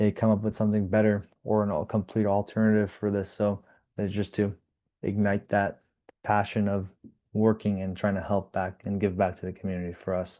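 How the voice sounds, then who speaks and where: Monotone, flat intonation in a dark, mellow tone, with a quiet background. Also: man, fairly low pitch for a man, fairly quick pace. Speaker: nonprofit program manager. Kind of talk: interview. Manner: casual, with many fillers and restarts.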